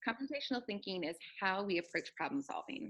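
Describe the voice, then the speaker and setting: Using an ordinary speaking voice, a woman with an American accent talks at a moderate pace, with medium pitch and ordinary pitch variation. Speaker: teacher and author. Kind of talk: interview.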